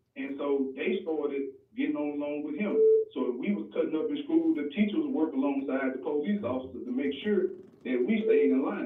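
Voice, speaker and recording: The recording has audible room echo and noticeable background noise. A man talks at a fairly quick pace. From West Jackson, Mississippi, US South. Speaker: caller. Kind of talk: call-in radio comment. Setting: phone call.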